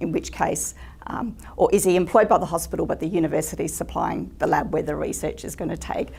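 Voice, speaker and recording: A woman with an Australian accent at a very fast pace. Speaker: legal seminar presenter. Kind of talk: lecture. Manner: many fillers (um).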